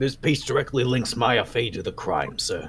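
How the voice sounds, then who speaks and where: At a moderate pace, someone performs a put-on character voice with a raspy edge. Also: man. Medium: actual play. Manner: casual, says pal.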